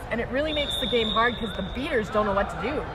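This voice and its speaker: Over crowd noise and audible room echo, a woman with a high pitch speaks in an animated tone. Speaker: sports commentator. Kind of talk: live commentary.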